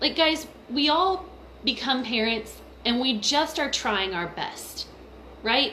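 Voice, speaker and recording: A woman speaks in a raised, projected voice at a high pitch, with lively intonation and a very slow pace. Noticeable background noise is present. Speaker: mother and essential oils vlogger. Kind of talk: personal testimony vlog. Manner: casual, filler-heavy.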